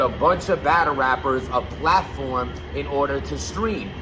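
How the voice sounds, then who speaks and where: Music runs behind the speaker. He is a man talking fairly slowly. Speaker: YouTube blogger on battle rap. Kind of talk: casual vlog commentary. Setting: loud basement room. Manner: loud.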